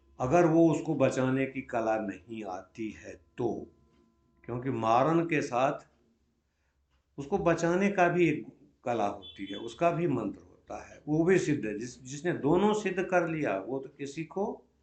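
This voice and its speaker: A man speaks at a fairly high pitch with very wide pitch swings. His loudness swings a lot as well. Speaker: grandfather telling ghost stories. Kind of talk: interview answer, storytelling.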